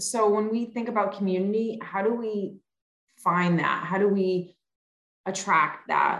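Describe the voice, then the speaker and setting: Speaking fairly slowly at a medium pitch, a woman uses fairly even intonation in an unremarkable speaking voice. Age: 40s. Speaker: podcast host. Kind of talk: casual interview chat.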